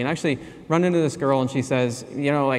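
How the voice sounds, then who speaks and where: Talking at a very fast pace with fairly even intonation, a man is heard through audible room echo and noticeable background noise. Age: 40s. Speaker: anthropology professor. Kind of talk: conference keynote.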